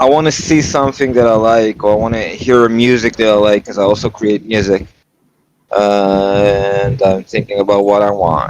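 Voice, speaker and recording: A man's fairly low voice with a non-native accent, ordinary pitch variation, very even loudness and a moderate pace. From Israel. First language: not English. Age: 30s. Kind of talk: casual chat. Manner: halting.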